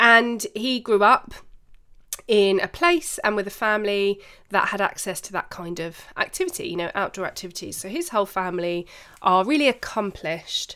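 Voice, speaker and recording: A woman speaks at a medium pitch with a bright, sharp tone and lively intonation. The recording is very clean, with a silent background. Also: moderate pace. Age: 30s. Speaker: business podcast host and coach. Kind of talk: solo podcast monologue.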